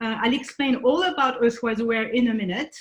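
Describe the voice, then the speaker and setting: A woman speaks in a French accent at a moderate pace. Her pitch is fairly high. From France. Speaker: conservation nonprofit founder. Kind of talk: presentation talk. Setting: video call. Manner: halting, many fillers.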